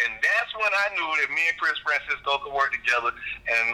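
A man rattles along at a very fast pace with noticeable background noise behind him. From Jacksonville, Florida (north side). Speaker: club promoter and entertainment businessman. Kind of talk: casual interview.

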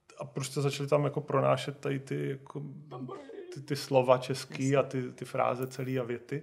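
Noticeable background noise sits behind a man talking at a fairly quick pace. His intonation is monotone and flat. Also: medium pitch for a man. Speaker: video game studio founder. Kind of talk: interview.

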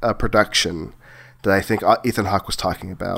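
A man speaks in a playful tone at a fairly quick pace. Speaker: podcast host. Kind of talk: casual chat. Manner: jokey, playful.

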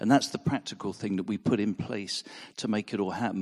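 A man speaks over a quiet background. His pitch is fairly low, with ordinary variation. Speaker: drama ministry worker giving testimony. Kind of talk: testimony. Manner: halting.

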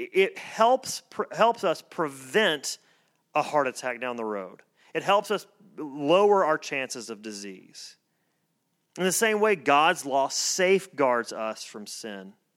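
With an American accent, a man talks at a very slow pace, his pitch swinging very widely. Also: very clean recording, silent background. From US South. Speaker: pastor. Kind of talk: sermon. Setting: church.

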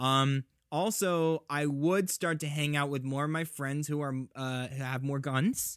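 On a very clean recording with a silent background, a man with a normal speaking voice talks at a fairly high pitch with fairly even intonation. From US South, Georgia. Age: 20s. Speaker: podcast guest. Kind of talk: casual chat.

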